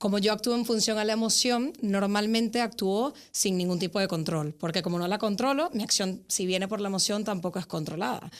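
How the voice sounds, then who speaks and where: A woman at medium pitch and a fairly quick pace, with hardly any pauses, ordinary pitch variation and very even loudness. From Venezuela. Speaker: psychologist. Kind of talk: podcast interview. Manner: hesitant fillers, frequent ¿vale?.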